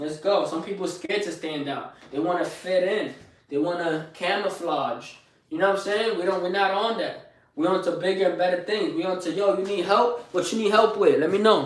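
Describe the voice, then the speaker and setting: A high-pitched man with a Bronx accent speaks amid noticeable background noise and audible room echo. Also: ordinary pitch variation. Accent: New York, Bronx. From New York, the Bronx. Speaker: live streamer, fitness motivator. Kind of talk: motivational live stream talk. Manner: energetic, hyped; fast.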